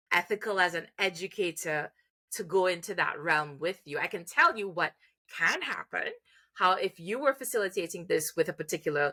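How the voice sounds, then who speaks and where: Recorded very cleanly against a silent background, a woman speaks at medium pitch with ordinary pitch variation, a bright, sharp tone and a moderate pace, the sound dry and close with no echo. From Trinidad and Tobago. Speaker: music therapist and educator. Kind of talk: interview. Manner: hesitant, many fillers and restarts.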